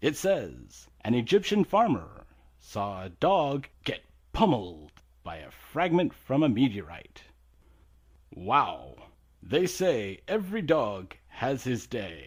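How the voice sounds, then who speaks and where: Using a put-on character voice, a man speaks at a fairly slow pace with a medium pitch, very wide pitch swings and big swings in loudness. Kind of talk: comedy radio show.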